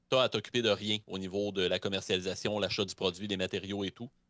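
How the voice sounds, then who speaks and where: Over a quiet background, a man with a fairly low pitch and a bright, sharp tone talks at a very fast pace in a monotone, flat intonation, with a dry sound and no echo. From Quebec. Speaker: history streamer. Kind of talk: history presentation; casual chat. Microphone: studio mic.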